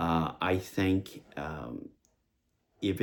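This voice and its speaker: A man with a very deep, low pitch is heard on a very clean recording with a silent background. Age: 60s. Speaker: vlogger with Parkinson's disease. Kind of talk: personal video diary. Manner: halting, many fillers.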